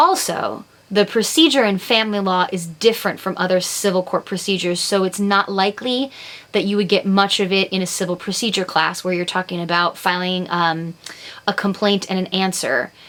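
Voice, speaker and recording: Speaking at a fairly quick pace, a woman uses a normal speaking voice with medium pitch and ordinary pitch variation. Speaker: law instructor. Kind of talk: recorded lecture.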